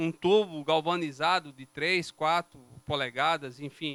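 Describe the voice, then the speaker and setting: A man speaks with a northeastern Brazilian accent at a fairly high pitch. His tone is bright and sharp, and the sound is dry and close with no echo. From Brazilian Northeast. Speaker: civil engineer presenting a road project. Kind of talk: technical presentation to city councillors. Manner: explanatory, conversational.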